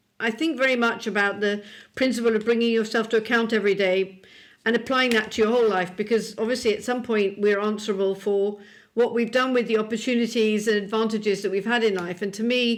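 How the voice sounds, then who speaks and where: A British accent marks this woman's fairly high-pitched voice. She talks at a very fast pace with monotone, flat intonation. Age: 60s. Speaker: publisher. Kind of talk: podcast interview. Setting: video call.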